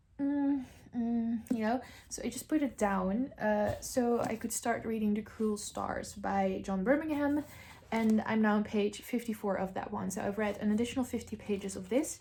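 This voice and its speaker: A woman with a non-native accent speaks at a fairly high pitch and moderate pace, with ordinary pitch variation. Her tone is dark and mellow and somewhat breathy. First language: not English. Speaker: book vlogger. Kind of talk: casual vlog.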